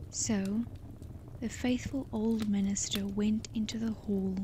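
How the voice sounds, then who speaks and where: Noticeable background noise is present throughout. The words come out at a very slow pace. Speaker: storyteller. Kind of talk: sleep story reading. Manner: soft-spoken, slow.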